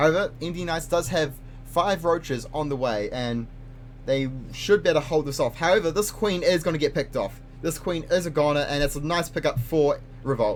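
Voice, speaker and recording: Music plays in the background as a man talks. His pitch is fairly high, his pace fairly quick, and his pitch variation ordinary. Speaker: esports caster. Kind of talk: live commentary. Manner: fast; animated.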